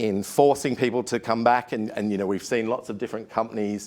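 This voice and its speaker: A man with an Australian accent at medium pitch, fairly even in intonation, on a very clean recording with a silent background. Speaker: HR consultant, industry expert panelist. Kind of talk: conference talk. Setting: studio with live audience. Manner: hesitant, many fillers.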